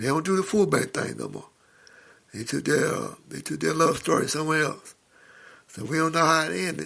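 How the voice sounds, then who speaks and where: A man speaks at a fairly quick pace in a fairly high pitch, with ordinary pitch variation and long, frequent pauses. His tone is bright and sharp, with some vocal fry. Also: very clean recording, silent background. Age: 60s. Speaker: podcaster. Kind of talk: casual monologue. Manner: informal, rambling delivery with fillers.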